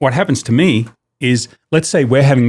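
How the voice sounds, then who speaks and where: A man's fairly quick speech in an Australian accent, with ordinary pitch variation, on a very clean recording with a silent background. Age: 50s. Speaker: business owner. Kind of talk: casual chat. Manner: loud; animated.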